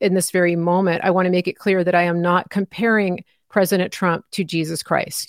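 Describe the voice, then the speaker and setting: A woman with an American accent and a plain, everyday voice speaks at a fairly quick pace with fairly even intonation. The recording is very clean, with a silent background. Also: dry, close sound with no echo. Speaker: independent journalist and commentator. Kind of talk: live interview. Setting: live stream.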